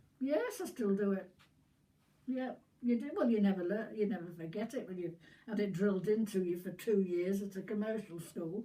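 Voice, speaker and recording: A woman at a moderate pace, medium pitch, ordinary pitch variation. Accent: Yorkshire. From Yorkshire, northern England. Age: 90s. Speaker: war veteran. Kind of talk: casual chat. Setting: at home with family, filmed.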